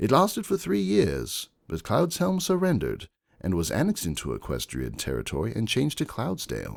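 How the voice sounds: In a put-on character voice, a man with fairly low pitch and vocal fry makes very wide pitch swings at a moderate pace, on a very clean recording with a silent background.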